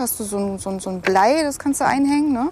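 Noticeable background noise fills the clip. Through it, a woman talks. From Thuringia, Germany (near Nordhausen, southern Harz). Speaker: angler. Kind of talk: casual chat. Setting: outdoors.

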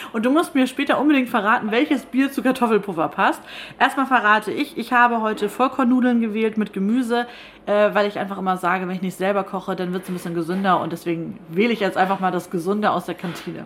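A woman's medium-pitched voice at a very fast pace, with lively intonation and noticeable background noise. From northern Germany, Schleswig-Holstein (Stormarn). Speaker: radio podcast host. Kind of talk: casual interview over lunch. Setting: broadcaster's canteen.

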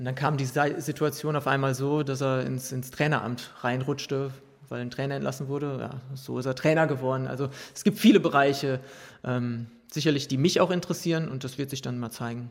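This man has a normal speaking voice at medium pitch, with fairly even intonation and a fairly quick pace. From Ruhr area, Germany. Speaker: professional footballer. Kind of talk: interview. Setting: press container at a stadium.

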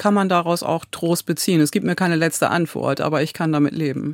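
Her intonation stays monotone and flat. The woman's pitch is fairly low. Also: very clean recording, silent background. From Ostfriesland, northern Germany. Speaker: pastor. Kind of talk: casual interview. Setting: studio.

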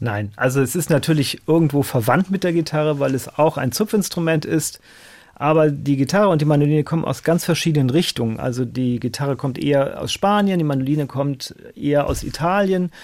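A man speaks at a fairly quick pace with ordinary pitch variation and an unremarkable speaking voice. The recording is very clean, with a silent background. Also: fairly high pitch for a man. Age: 50s. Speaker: mandolinist and mandolin teacher. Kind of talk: casual radio interview.

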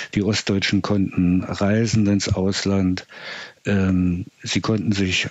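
Very slow delivery with monotone, flat intonation. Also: man. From East Germany. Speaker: social scientist. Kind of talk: expert interview. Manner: halting, many fillers.

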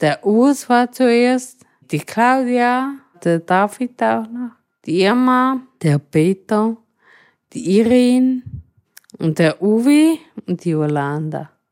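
A woman with a fairly high voice talks very slowly with very wide pitch swings and long, frequent pauses, and the sound is dry and close with no echo. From Switzerland, rural Thurgau. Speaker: wheelchair user, cooperative resident. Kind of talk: interview.

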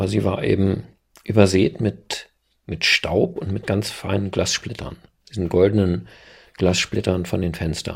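Very deep and low, a man's voice carries vocal fry and fairly even intonation at a fairly slow pace with long, frequent pauses. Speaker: local journalist, eyewitness. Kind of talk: interview testimony.

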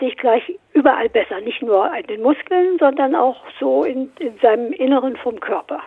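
High female speech at a fairly slow tempo, its intonation lively. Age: 80s+. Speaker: fitness trainer, caller. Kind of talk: call-in conversation. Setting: phone call.

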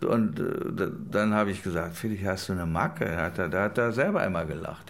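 The pace here is moderate, with ordinary pitch variation. It is an ordinary speaking voice. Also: man. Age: 60s. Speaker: film producer. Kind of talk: interview.

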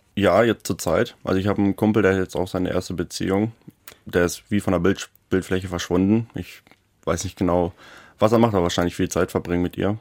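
A man's very deep, low voice, monotone and flat at a fairly quick pace, with a dry, close sound and no echo. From Germany, Lower Saxony (Schaumburg district). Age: 20s. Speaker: metalwork apprentice. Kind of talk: radio interview.

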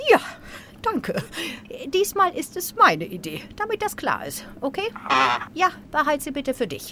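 Over noticeable background noise, a woman speaks at a moderate pace in a high voice, with very wide pitch swings, big swings in loudness, and long, frequent pauses. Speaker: comedian doing political impressions. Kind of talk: satirical sketch.

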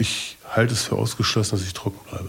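This man's voice is fairly low and somewhat breathy. He talks at a fairly quick pace. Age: 50s. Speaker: recovering addict. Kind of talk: testimony.

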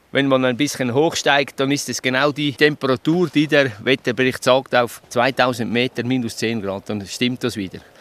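A man with a Swiss accent, fairly even intonation and hardly any pauses, in a dry, close sound with no echo. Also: medium pitch for a man, moderate pace. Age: 60s. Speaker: weather station keeper. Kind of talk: on-location interview.

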